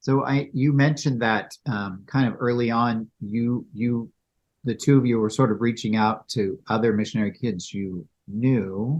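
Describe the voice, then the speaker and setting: A man with an ordinary speaking voice, talking at a fairly slow pace with ordinary pitch variation. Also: medium pitch for a man. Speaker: podcast host. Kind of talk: interview question.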